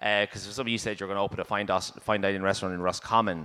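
Speaking with a Dublin accent, a man has a bright, sharp tone and ordinary pitch variation. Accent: Dublin Irish. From Dublin, Ireland. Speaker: chef and cookbook writer. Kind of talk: panel talk. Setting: stage with audience. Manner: halting.

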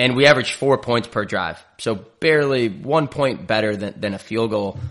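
Against a quiet background, a man speaks in a plain, everyday voice at a fairly quick pace with ordinary pitch variation. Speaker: sports podcast host. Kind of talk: casual sports analysis chat.

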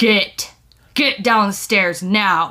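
A woman's put-on character voice, growling and stern, medium in pitch, with monotone, flat intonation. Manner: stern, commanding.

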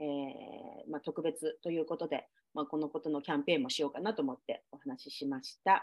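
A woman with a very deep, low pitch at a very fast pace. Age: 40s. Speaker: podcast host. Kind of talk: casual chat.

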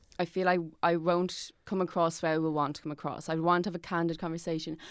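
In a very clean recording with a silent background, a woman with an Irish accent speaks at a fairly quick pace in a fairly low pitch. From Ireland. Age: 20s. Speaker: actor and writer. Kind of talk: casual chat.

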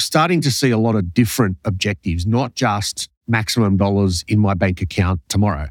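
A man at fairly low pitch and a fairly quick pace, hardly any pauses, ordinary pitch variation, and a dry, close sound with no echo. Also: very even loudness. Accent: Australian. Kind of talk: interview. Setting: remote call.

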